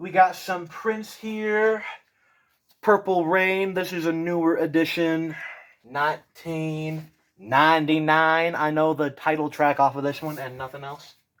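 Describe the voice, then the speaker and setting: Speech comes at a fairly slow pace in a very clean recording with a silent background. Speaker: YouTuber. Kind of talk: casual chat.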